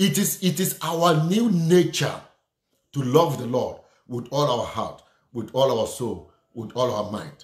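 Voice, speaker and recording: A man's fairly high, lively voice at a fairly slow pace. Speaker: preacher. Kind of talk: sermon with prayer and call-and-response. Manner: fervent, exclamatory, punctuated by repeated hallelujahs; rhythmic, repeating phrases for emphasis, directly addressing listeners.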